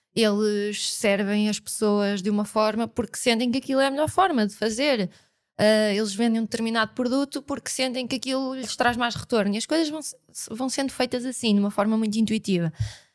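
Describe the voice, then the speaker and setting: In an ordinary speaking voice, a woman with a fairly high pitch talks at a fairly quick pace with ordinary pitch variation, recorded very cleanly against a silent background. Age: 30s. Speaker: brand designer, agency CEO. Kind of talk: casual interview.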